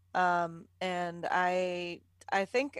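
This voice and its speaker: A woman at medium pitch, in a dry, close sound with no echo. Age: 30s. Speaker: podcast co-host. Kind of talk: casual chat.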